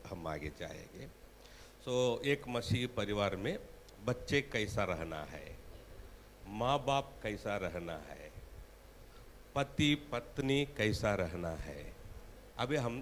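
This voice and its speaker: The speaker has a Tamil accent and very wide pitch swings. Long, frequent pauses break up the speech. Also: man. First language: Tamil (speaking Hindi). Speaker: preacher. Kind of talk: sermon. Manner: halting.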